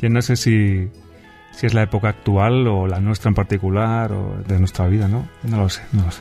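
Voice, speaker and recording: A man's fairly low, fairly even voice at a moderate pace, with faint music in the background. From Spain. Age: 40s. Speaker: musician. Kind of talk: interview answer. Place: studio. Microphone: studio mic.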